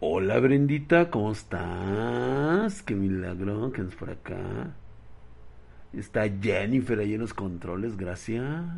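Very slowly and with very wide pitch swings, a man with a Mexican accent speaks at a fairly low pitch amid audible room echo. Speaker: livestreamer. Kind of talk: casual chat. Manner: animated.

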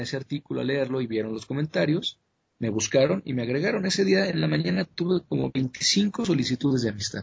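At a fairly quick pace, a man with a medium pitch and vocal fry swings his pitch very widely. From Mexico. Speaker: conspiracy researcher. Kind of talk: interview. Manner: halting, with frequent repetitions.

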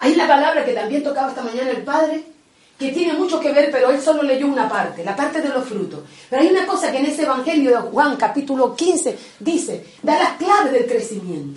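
Amid noticeable background noise and audible room echo, a woman talks at a fairly quick pace with a high pitch and lively intonation. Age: 60s. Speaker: catechist. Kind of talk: catechesis talk.

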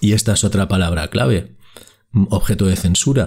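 A man speaks at a moderate pace. His tone is dark and mellow and somewhat breathy. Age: 50s. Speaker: podcast host. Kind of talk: solo podcast monologue.

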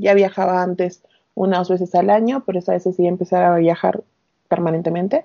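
A woman with an unremarkable speaking voice keeps a medium pitch and fairly even intonation. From Peru, Arequipa (south). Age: 30s. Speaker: recruiter and long-term traveller. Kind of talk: casual interview.

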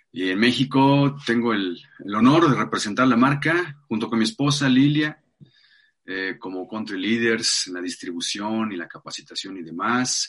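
A normal speaking voice at a fairly slow pace. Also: man, medium pitch for a man, lively intonation. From Mexico City. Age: 40s. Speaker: life coach. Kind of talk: interview conversation.

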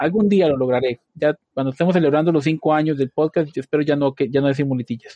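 With a dark, mellow tone and fairly high pitch, a man speaks at a fairly quick pace with ordinary pitch variation in a dry, close recording with no echo. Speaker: podcast host, IT production architect. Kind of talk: casual chat. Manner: frequent filler words.

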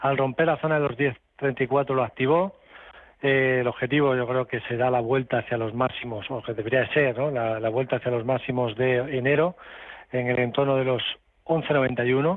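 A man with an ordinary speaking voice talks at a moderate pace and medium pitch, keeping his intonation fairly even. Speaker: stock market analyst. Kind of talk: radio call-in advice.

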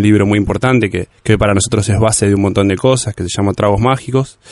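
At a very fast pace, a man with a fairly low pitch talks with fairly even intonation. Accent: Rioplatense. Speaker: bartender. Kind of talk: casual interview.

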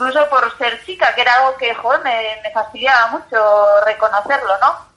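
A high-pitched woman's voice at a moderate pace, with ordinary pitch variation. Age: 30s. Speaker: journalist and bicycle traveller. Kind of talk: interview. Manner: halting, repeats words.

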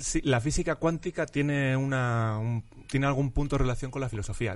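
An ordinary speaking voice at a fairly quick pace. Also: man. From Spain, Madrid (Vallecas). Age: 30s. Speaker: philosophy professor. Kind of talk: casual interview chat.

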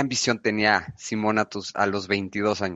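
A man talks very slowly. His voice sits at a fairly low pitch. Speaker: podcast host, business consultant. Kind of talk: interview.

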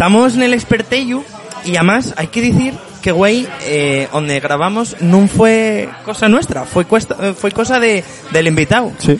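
A man's high-pitched voice with lively intonation, at a fairly slow pace, over noticeable background noise. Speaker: podcast host. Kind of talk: casual interview. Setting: bar.

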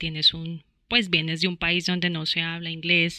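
Against a quiet background, a woman with a fairly low pitch and a bright, sharp tone talks at a moderate pace, the sound dry and close with no echo. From Colombia, Bogotá. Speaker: international student. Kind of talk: interview, personal experience.

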